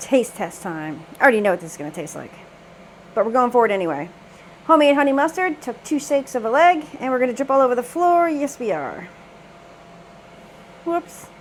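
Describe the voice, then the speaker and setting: A woman talks fairly quickly in a high voice with very wide pitch swings and big swings in loudness, breaking into long, frequent pauses against noticeable background noise. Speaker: cooking channel host. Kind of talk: cooking tutorial. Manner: animated.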